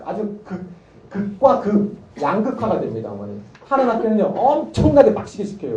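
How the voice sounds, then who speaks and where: In an animated tone, a man with a slight Gangwon accent talks at a fairly quick pace and high pitch, using very wide pitch swings, with noticeable background noise and audible room echo. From Gangwon, Korea (Gangneung). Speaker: math academy teacher. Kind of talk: parent information session talk.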